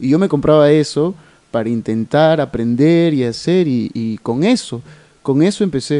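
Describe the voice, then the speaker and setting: With a dark, mellow tone and lively intonation, a man speaks fairly slowly at a fairly high pitch. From Tacna, southern Peru. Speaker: theatre actor. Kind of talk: radio interview. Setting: radio studio.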